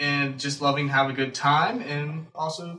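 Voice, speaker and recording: There is audible room echo around a man whose pitch is fairly high. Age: 20s. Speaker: podcast co-host and college student. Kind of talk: casual chat.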